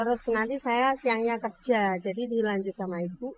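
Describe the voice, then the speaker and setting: Captured with a dry, close sound and no echo, a woman speaks in a high voice at a moderate pace with ordinary pitch variation. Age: 40s. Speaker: food stall owner. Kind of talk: interview. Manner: halting.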